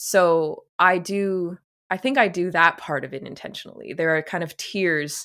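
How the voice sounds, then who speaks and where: A woman with a Canadian accent speaks in a fairly even intonation on a very clean recording with a silent background. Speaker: composer, podcast co-host. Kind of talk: interview conversation.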